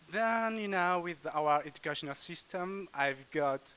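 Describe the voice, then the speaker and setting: A man with an Algerian accent speaks at a fairly slow pace. His tone is bright and sharp, with ordinary pitch variation. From Kabylie, Algeria. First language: Kabyle. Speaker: language student. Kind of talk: casual group interview. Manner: hesitant, many fillers.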